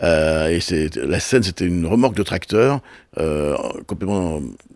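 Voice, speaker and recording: The recording is very clean, and the background is silent. In a very deep, low voice, a man talks at a moderate speed. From Brittany, France (Brest area). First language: Breton (speaking French). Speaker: television and festival producer. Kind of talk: interview. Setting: radio studio. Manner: halting, many repetitions.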